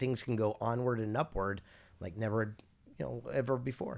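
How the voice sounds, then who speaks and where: At a moderate pace, an American man speaks at a medium pitch with ordinary variation, in a very clean recording with a silent background. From California, US West Coast. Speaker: keynote speaker and author. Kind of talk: podcast interview. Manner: animated.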